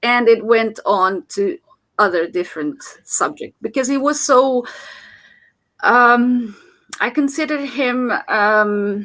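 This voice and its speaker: With a Portuguese accent, a woman with a high pitch and a bright, sharp tone speaks at a very slow pace. Her intonation is lively, and her pauses are long and frequent. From Portugal. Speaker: motivational channel host. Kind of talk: casual chat. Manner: halting, many fillers.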